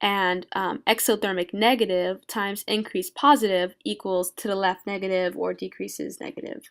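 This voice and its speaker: Over a very clean recording with a silent background, a woman of medium pitch talks at a moderate pace with fairly even intonation and hardly any pauses. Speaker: student making a tutorial video. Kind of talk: tutorial. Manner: halting, many fillers; casual, informal.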